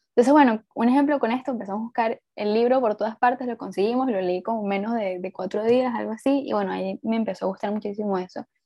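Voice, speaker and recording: A woman with a Venezuelan accent speaks at a very fast pace, with hardly any pauses, a fairly high pitch and ordinary pitch variation. Her tone is dark and mellow, the sound dry and close with no echo, over a quiet background. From Venezuela, Puerto Ordaz. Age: 20s. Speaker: writer. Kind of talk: casual interview.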